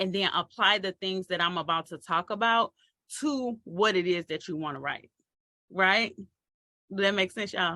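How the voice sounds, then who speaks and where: A woman speaks loudly at medium pitch in a bright, sharp tone. Her pitch variation is ordinary. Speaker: marketing coach for authors. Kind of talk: online training talk. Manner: casual, playful.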